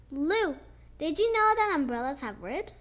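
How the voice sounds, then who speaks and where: A woman puts on a character voice pitched high. She moves at a moderate pace with very wide pitch swings. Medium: read story.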